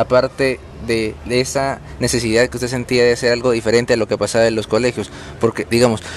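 Over noticeable background noise, a man talks at a moderate pace with a medium pitch. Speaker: student interviewer. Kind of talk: interview questions.

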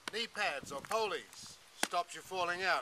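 Through light background noise, a man with an Australian accent speaks at a high pitch. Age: 60s. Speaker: saddle maker and business owner. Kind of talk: sales pitch. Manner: casual. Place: open country.

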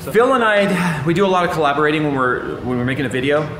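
Noticeable background noise sits under the audio. A man speaks at a fairly quick pace. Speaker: tech channel host. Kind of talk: casual vlog tour. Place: office.

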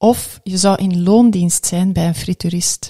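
Somewhat breathy, with a dark, mellow tone and fairly even intonation, a woman talks at a very slow pace against a quiet background. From Belgium. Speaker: podcast host. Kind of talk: interview. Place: studio. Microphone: studio mic.

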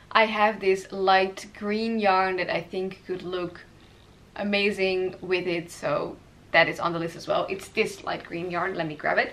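A woman with a fairly low pitch and a fairly bright tone speaks at a fairly slow pace. Her intonation is fairly even, and room echo is audible.

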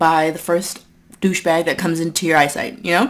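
Using a normal speaking voice, a woman talks at a fairly quick pace with a fairly low pitch. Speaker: eating vlogger. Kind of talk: casual vlog chat. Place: home room.

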